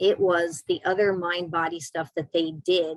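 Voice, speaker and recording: A woman with an American accent speaks in an animated tone, the sound dry and close with no echo. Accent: slight New York accent on some words. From New York City. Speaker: doctor specializing in Lyme disease. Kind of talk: casual interview chat.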